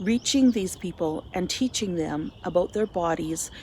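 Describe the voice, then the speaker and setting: A woman speaks in a Canadian accent at a fairly slow pace. Her voice is somewhat breathy. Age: 60s. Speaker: volunteer with a menstrual health charity. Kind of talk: scripted narration; casual chat.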